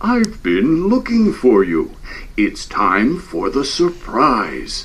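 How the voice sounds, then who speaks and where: Using a put-on character voice, a man speaks at a very slow pace over light background noise. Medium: read story.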